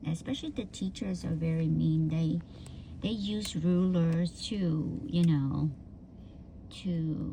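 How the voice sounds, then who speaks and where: A woman with a Vietnamese accent and a fairly low pitch speaks at a very slow pace, with long, frequent pauses. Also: ordinary pitch variation. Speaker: vlogger. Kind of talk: casual personal storytelling. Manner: halting, many fillers.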